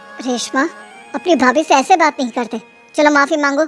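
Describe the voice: Clear music sits in the background as a woman performs a cartoonish character voice at a moderate pace.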